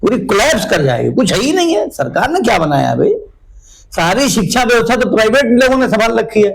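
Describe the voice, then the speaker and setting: A man's high voice with lively intonation, very even loudness and a moderate pace, plus audible room echo. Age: 60s. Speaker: local politician. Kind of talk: interview.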